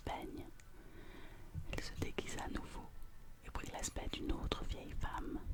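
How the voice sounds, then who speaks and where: The words come out as a whisper at a fairly slow pace. Background noise is noticeable throughout. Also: woman. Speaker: ASMR reader. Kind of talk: ASMR fairy tale reading, whispered. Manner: whispered, soft.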